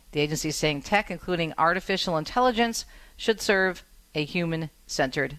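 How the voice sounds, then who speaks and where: A plain, everyday voice with an American accent, using ordinary pitch variation at a moderate pace. The background is quiet. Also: woman. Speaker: radio host. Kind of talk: casual radio talk show. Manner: warm, chatty.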